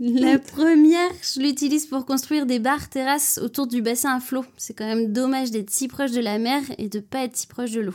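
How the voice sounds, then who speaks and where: A woman's high-pitched voice at a fairly quick pace, with ordinary pitch variation and hardly any pauses. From France, Nantes. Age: 30s. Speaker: fashion accessories designer. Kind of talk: interview.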